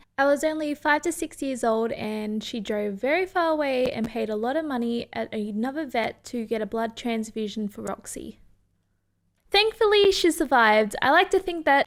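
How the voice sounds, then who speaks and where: A woman speaks with an Australian accent at a moderate pace. Her pitch is high and her intonation lively. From Australia, New South Wales countryside west of Sydney. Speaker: YouTuber. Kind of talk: personal life story narration.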